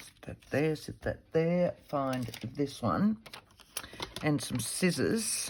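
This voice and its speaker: A woman with an Australian accent and a very deep, low pitch speaks very slowly, with lively intonation and big swings in loudness. Long, frequent pauses break her speech over noticeable background noise. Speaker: papercraft video host. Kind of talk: crafting tutorial, thinking aloud. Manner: casual, talking to herself.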